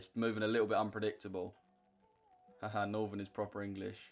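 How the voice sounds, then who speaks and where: Music runs underneath as this man rattles off his words very quickly. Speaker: forex trader streamer. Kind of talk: live trading stream, casual chat with chat. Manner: animated.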